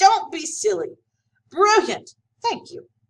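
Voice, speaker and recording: In a put-on character voice, a woman talks at a fairly slow pace and an extremely high pitch. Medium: read story. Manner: effusive, theatrical.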